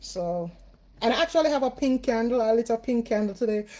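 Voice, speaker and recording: At a moderate pace, a woman with a Jamaican accent speaks with ordinary pitch variation. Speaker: spiritual reader and livestream host. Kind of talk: casual livestream chat. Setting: live video stream.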